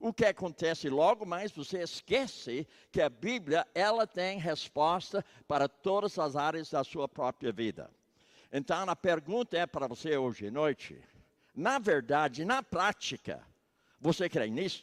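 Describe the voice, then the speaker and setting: A man talks fairly slowly with lively intonation and a high pitch for a man. The recording is very clean with a silent background, dry and close with no echo. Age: 80s+. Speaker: missionary preacher. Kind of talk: sermon.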